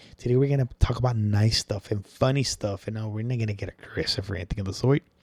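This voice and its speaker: A man's medium-pitched, somewhat breathy voice with a dark, mellow tone, ordinary pitch variation and a very fast pace, in a dry, close sound with no echo. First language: Spanish. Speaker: podcast host. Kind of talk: casual chat. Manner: casual, filler-heavy.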